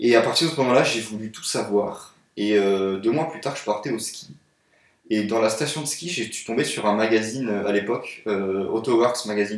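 A man with an ordinary speaking voice, medium pitch, ordinary pitch variation, moderate pace and big swings in loudness. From France, Paris. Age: 20s. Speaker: car photographer. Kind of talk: casual chat.

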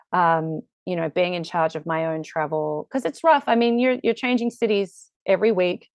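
At a moderate pace and with hardly any pauses, a woman in an Australian accent speaks at medium pitch with lively intonation. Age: 40s. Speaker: musical theatre actor. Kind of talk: casual interview.

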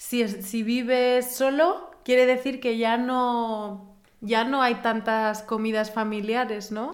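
A woman with a fairly high voice, speaking very slowly with hardly any pauses, in a room with audible echo. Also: fairly even intonation. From Spain. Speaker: podcast host. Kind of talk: casual chat.

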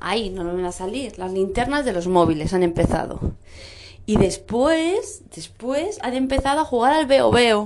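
Animated in tone, a woman with a fairly high pitch swings very widely in pitch. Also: fairly slow pace. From Madrid, Spain. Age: 30s. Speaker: vlogger mother. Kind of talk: casual family video diary.

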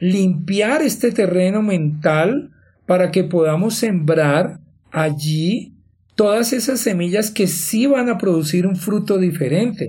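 A man speaks at a very slow pace in a high pitch, with a dark, mellow tone. There is audible room echo around him. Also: ordinary pitch variation. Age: 50s. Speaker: life coach and podcast host. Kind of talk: motivational monologue.

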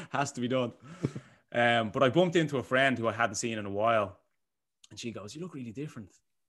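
A man at a medium pitch talks at a very fast pace with long, frequent pauses, big swings in loudness and ordinary pitch variation. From Ireland, Bray (Co. Wicklow). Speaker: online fitness coach. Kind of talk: casual chat.

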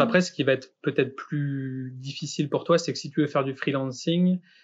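A man speaks with ordinary pitch variation. Behind him the background is quiet. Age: 30s. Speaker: graphic design studio founder, podcast host. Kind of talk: casual chat, portfolio review. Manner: halting.

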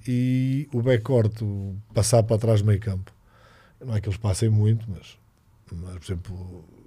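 With a dark, mellow tone and somewhat breathy delivery, a man speaks at a fairly low pitch and fairly slow pace, his intonation fairly even but his loudness swinging widely. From Portugal, Figueira da Foz. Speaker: basketball coach. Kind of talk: casual chat.

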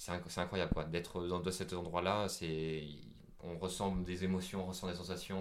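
Audible room echo surrounds this monotone, flat delivery. The pace is fairly slow. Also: man. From France. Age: 20s. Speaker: traveller. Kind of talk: interview. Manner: halting.

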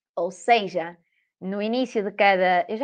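Ordinary pitch variation from a woman speaking at a fairly slow pace. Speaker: occupational therapy student. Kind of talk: casual chat.

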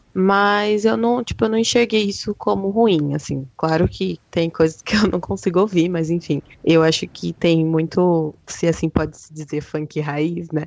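Fairly slow and with hardly any pauses, a woman's fairly low voice shows ordinary pitch variation and big swings in loudness, an ordinary speaking voice. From interior of São Paulo state. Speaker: hip hop news writer. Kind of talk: casual chat.

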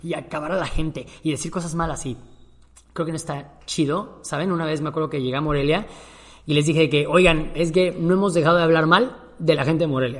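Fairly even intonation at a fairly quick pace. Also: man, fairly high pitch for a man. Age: 30s. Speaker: podcast host. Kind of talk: casual monologue.

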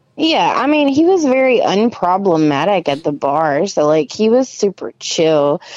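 A woman's voice swings very widely in pitch. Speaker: caller. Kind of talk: casual chat. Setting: phone call.

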